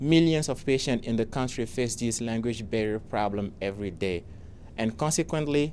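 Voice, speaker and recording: Ordinary pitch variation runs through speech delivered with a non-native accent. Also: man. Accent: foreign accent, noticeable. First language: not English; speaks four languages. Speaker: software founder, pharmacy professional. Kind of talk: scripted pitch presentation. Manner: formal.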